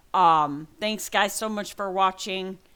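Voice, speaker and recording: Over a silent background in a very clean recording, a woman with a bright, sharp tone speaks at a fairly slow pace, her pitch fairly low and her intonation lively. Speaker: gaming vlogger. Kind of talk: personal vlog update. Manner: halting.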